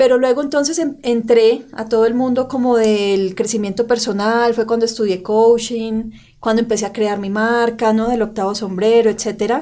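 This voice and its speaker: Hardly pausing, a woman with a fairly high pitch and a dark, mellow tone keeps a moderate pace and fairly even intonation on a very clean recording with a silent background. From Colombia, Santander (Bucaramanga). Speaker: personal branding coach and podcast co-host. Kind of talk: casual podcast chat. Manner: clipped, forceful delivery.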